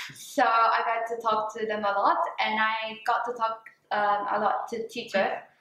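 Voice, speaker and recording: A woman speaks at a moderate pace in a fairly high pitch with fairly even intonation, and the room echo is audible. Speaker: former student. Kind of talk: interview. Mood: warm, nostalgic, smiling. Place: classroom.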